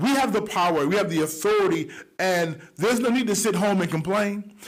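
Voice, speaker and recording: Over noticeable background noise, a man with a high pitch and animated tone talks at a fairly quick pace, with ordinary pitch variation and very even loudness. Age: young. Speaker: online talk show host. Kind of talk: motivational monologue. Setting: studio.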